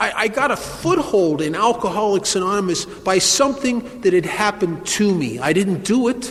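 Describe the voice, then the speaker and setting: A man speaks at a high pitch and moderate pace with lively intonation. Background noise is noticeable. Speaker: recovering alcoholic, AA speaker. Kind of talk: recovery talk at a meeting. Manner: humorous storytelling.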